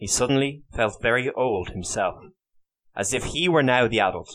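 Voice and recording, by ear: Someone reads aloud in a natural voice, the intonation lively and the background quiet.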